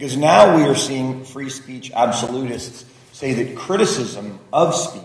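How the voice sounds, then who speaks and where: At a very slow pace, a man speaks at medium pitch with ordinary pitch variation. Background noise is noticeable. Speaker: lawmaker. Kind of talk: roundtable remarks. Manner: loud.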